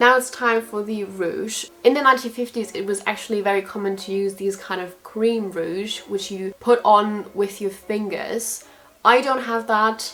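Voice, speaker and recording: At a moderate pace, a woman with a German accent and a fairly high pitch speaks amid noticeable background noise. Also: fairly even intonation, hardly any pauses. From Germany. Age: 20s. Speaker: beauty vlogger. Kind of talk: tutorial. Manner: casual, chatty.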